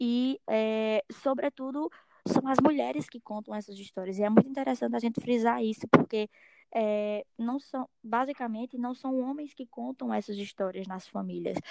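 A woman with a fairly high pitch speaks at a moderate pace with ordinary pitch variation. Her loudness swings widely, and the sound is dry and close with no echo. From Alto Sertão of Paraíba, Brazil. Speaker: undergraduate student, project scholarship holder. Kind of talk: casual podcast conversation. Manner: halting with many fillers.

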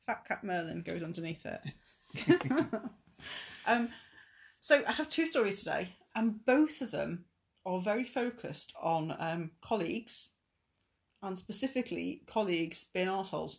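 The speaker's voice is somewhat breathy, moving through very wide pitch swings at a fairly slow pace with long, frequent pauses. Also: woman, medium pitch for a woman. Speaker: podcast host reading Reddit posts aloud. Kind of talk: casual British conversational.

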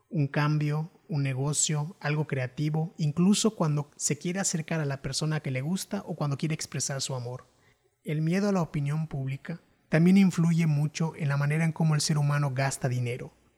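On a very clean recording with a silent background, the pace of the talking is moderate. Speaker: podcaster. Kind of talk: scripted narration.

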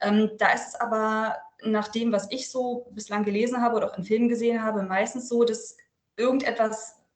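A somewhat breathy woman's voice at a fairly high pitch, moderate pace and ordinary pitch variation, with audible room echo. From northern Germany, Lüneburg Heath. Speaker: author and journalist. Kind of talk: interview.

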